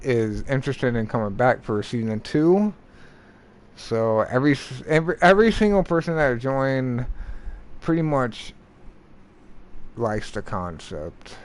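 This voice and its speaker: Mumbling at a moderate pace, a man of medium pitch makes very wide pitch swings and leaves long, frequent pauses. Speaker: gaming livestreamer. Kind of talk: casual livestream talk. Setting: livestream.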